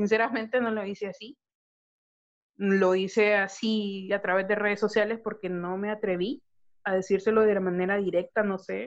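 At a medium pitch, a woman speaks in a flat, monotone way. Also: moderate pace. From Honduras. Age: 30s. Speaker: podcast co-host. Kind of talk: casual chat.

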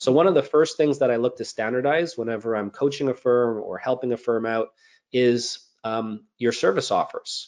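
In an ordinary speaking voice, a man with a Canadian accent talks at a moderate pace. His pitch is medium with ordinary variation, over a quiet background. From Montreal, Canada. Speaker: accountant and business coach. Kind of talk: interview.

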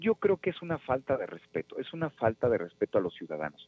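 A man talking at a fairly quick pace, his pitch making very wide swings. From Mexico, Nezahualcóyotl (State of Mexico). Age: 30s. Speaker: political candidate. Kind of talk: radio interview. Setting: phone call.

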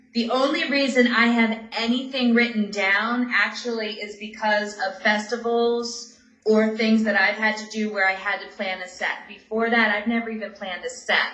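A woman talks at a moderate pace and fairly high pitch with fairly even intonation and hardly any pauses. Her loudness swings widely over noticeable background noise. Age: 40s. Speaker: stand-up comedian. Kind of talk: casual interview.

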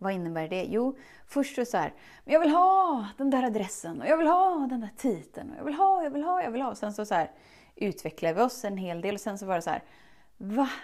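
A woman talks at a fairly quick pace in an animated tone, her high voice making very wide pitch swings. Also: very clean recording, silent background. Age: 30s. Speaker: self-love coach podcast host. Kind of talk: motivational monologue.

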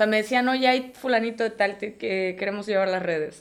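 A woman is speaking. Her pace is moderate. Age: 30s. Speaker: agency CEO and graphic designer. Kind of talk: casual interview. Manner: halting.

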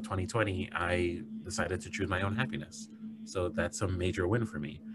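A somewhat breathy voice speaks at a moderate pace with ordinary pitch variation. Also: man. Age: 30s. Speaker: psychologist and podcast host. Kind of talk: casual chat.

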